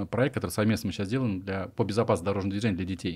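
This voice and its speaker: Dark, mellow tone from a man, pitch moving in an ordinary way. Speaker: interviewer, podcast host. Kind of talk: casual interview. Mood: friendly, upbeat. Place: studio. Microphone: studio mic.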